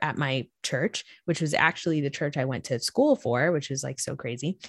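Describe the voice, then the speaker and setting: A woman with an American accent speaks in a very deep, low pitch with ordinary pitch variation, recorded very cleanly against a silent background with a dry, close sound and no echo. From Florida. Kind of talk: casual interview. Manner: animated.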